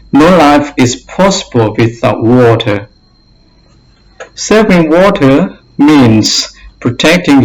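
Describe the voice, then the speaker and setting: A man speaks very slowly with a non-native accent and ordinary pitch variation. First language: not English. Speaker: English learner / teacher. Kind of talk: reading aloud; tutorial.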